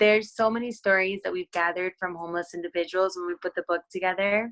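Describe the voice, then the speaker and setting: Woman's medium-pitched voice at a very fast pace, fairly even in intonation, in a dry, close sound with no echo. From Brazil, moved to Florida at twelve. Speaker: fashion entrepreneur. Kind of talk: interview. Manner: casual, many fillers.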